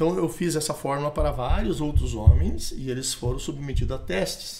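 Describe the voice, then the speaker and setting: With music behind him, a man talks at an even, moderate speed. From Brazil, interior of Rio Grande do Sul, German ethnicity. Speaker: supplement creator, entrepreneur. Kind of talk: podcast conversation. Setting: studio podcast table. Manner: talkative, hesitant repetitions.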